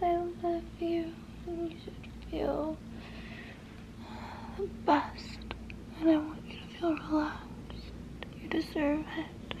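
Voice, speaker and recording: A woman talks at a very slow pace, with long, frequent pauses and big swings in loudness. Noticeable background noise is present. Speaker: ASMR creator. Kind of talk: soft ASMR personal attention talk. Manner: soft, soothing near-whisper.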